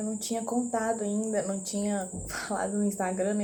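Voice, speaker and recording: Whispering at a fairly slow pace, a woman is heard through audible room echo and noticeable background noise. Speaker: vlogger. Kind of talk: personal vlog.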